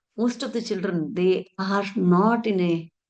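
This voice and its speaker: In a Telugu accent, a woman speaks at a medium pitch with a dark, mellow tone and ordinary pitch variation. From India, Karnataka. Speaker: education speaker. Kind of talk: conference talk.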